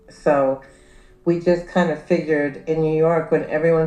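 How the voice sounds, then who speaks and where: Music plays in the background as a woman talks at a very deep, low pitch. Her pace is fairly slow and her intonation fairly even. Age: 60s. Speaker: lawyer. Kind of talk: interview testimony. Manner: halting.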